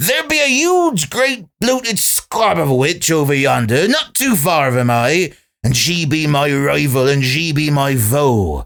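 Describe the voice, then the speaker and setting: Hardly pausing, a put-on character voice runs on in a very clean recording with a silent background. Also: man, fairly high pitch for a man, fairly slow pace. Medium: read story. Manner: archaic dialect, wheedling.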